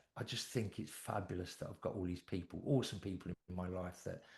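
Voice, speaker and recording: Speaking with a British accent, a man has a very deep, low, somewhat breathy voice and fairly even intonation. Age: 60s. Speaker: anxiety therapist and coach. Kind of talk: podcast interview.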